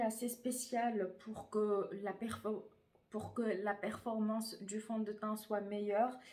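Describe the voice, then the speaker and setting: Speaking very slowly, a woman uses a fairly high pitch and a dark, mellow tone. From Tunisian heritage, France. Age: 20s. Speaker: beauty YouTuber. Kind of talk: casual talk to camera.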